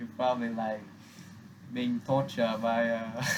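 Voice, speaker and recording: Mumbling at a fairly slow pace, a man speaks at a medium pitch in a flat monotone. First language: Vietnamese. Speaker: vlogger. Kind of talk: casual monologue to camera.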